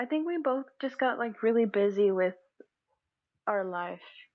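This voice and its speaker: Very wide pitch swings mark a woman's high-pitched voice. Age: 20s. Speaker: college student, podcast guest. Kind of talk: casual chat.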